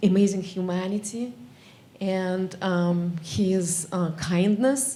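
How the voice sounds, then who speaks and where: A woman speaks in a Russian accent. Audible room echo and noticeable background noise surround her. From Russia (former Soviet Union). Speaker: geography academic. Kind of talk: audience remarks at memorial session.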